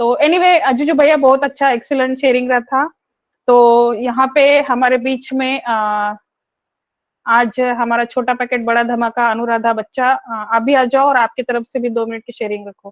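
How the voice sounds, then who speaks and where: A woman speaks loudly at a high pitch. Her intonation stays fairly even. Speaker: webinar host. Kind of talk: online webinar hosting.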